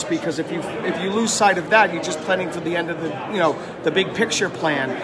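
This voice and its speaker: Loud background noise sits behind a man talking at a very fast pace. His pitch varies in an ordinary way. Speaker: interviewee. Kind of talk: interview answer. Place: hall. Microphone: phone near.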